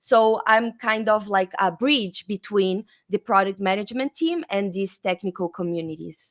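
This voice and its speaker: With a Brazilian accent, a woman talks at medium pitch with ordinary pitch variation, in a dry, close sound with no echo. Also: very clean recording, silent background. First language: Portuguese. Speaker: developer advocate. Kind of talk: interview.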